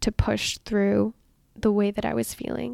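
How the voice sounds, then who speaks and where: A woman's medium-pitched voice, dark and mellow in tone, at a moderate pace with ordinary pitch variation, dry and close with no echo, on a very clean recording with a silent background. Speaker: health and weight loss coach. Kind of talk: solo podcast monologue. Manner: laughs often.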